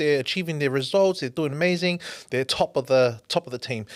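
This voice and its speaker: A man's normal speaking voice, fairly quick and lively in intonation, with a dry, close sound and no echo. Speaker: podcast host. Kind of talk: interview question.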